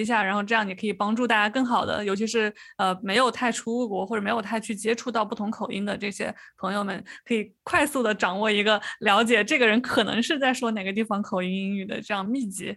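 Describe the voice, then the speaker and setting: This speaker talks at a fairly quick pace with a slight Changsha accent and fairly even intonation. The recording is very clean, with a silent background. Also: woman. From Changsha, Hunan. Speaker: podcast host. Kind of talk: casual chat.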